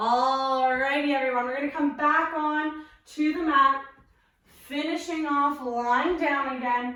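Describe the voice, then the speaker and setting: A high-pitched woman at a very slow pace with lively intonation, amid noticeable background noise and audible room echo. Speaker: physiotherapist and pilates instructor. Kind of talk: guided workout instruction. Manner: encouraging, paced cues.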